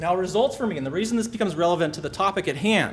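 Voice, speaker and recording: Room echo can be heard around a man's voice. His pitch is high, with ordinary variation. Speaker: physician, pain specialist. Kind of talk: presentation talk. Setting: stage with audience. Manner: fast; animated.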